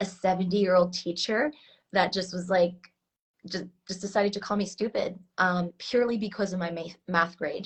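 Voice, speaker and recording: A woman with an American accent, medium in pitch and somewhat breathy, with fairly even intonation at a moderate pace. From Switzerland, later US. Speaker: heart intelligence coach. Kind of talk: interview. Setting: live stream.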